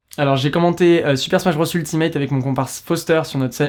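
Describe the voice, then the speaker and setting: A man's voice at a very fast pace, with fairly even intonation. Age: 20s. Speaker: esports commentator. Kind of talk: interview. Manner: hesitant, many fillers.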